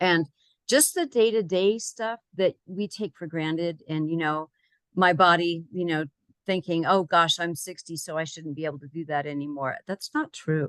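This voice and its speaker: This woman has a normal speaking voice, fairly low in pitch, with ordinary pitch variation at a moderate pace. The sound is dry and close with no echo, over a quiet background. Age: 60s. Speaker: client giving a health program testimonial. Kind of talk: testimony.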